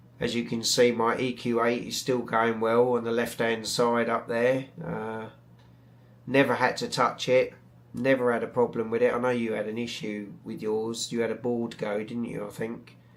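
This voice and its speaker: The man speaks at a moderate pace with a medium pitch. His intonation is monotone and flat. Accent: British. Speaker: astrophotography YouTuber. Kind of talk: live stream chat. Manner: hesitant, many fillers; mumbling.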